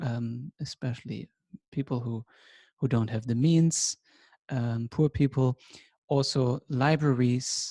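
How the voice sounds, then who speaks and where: With a German accent, the speaker moves at a very slow pace, leaving long, frequent pauses in fairly even intonation. The tone is dark, mellow and somewhat breathy, and the sound is dry and close with no echo. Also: man, medium pitch for a man. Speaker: teacher. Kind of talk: lecture.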